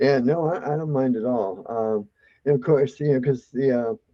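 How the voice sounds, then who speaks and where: A man with an American accent, medium pitch and a moderate pace. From Maryland, US. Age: 60s. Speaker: retirement mortgage specialist. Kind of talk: virtual meeting Q&A. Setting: video call. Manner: halting, many fillers.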